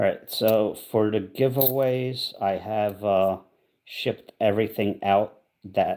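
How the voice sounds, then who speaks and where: A man's quiet, fairly low voice, dark and mellow in tone, with fairly even intonation. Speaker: coin roll hunting livestreamer. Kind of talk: live stream chat while searching coins. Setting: livestream from an Airbnb. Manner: quiet, speaking low.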